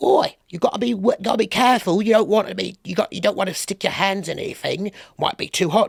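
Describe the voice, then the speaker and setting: Someone puts on a character voice at a fairly high pitch. The delivery is very fast. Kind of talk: gruff, colloquial.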